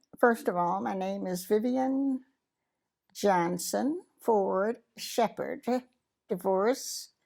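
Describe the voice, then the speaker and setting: A woman with an American accent at a very slow pace, on a very clean recording with a silent background. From US South, Mississippi. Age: 80s+. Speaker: widow sharing life story. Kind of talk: interview testimony. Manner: halting.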